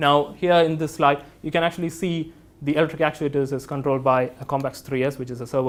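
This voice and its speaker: A man talks at a fairly quick pace in a fairly high, monotone, flat voice. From India. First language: not English. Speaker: engineering product specialist. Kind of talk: technical presentation. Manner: hesitant, with fillers.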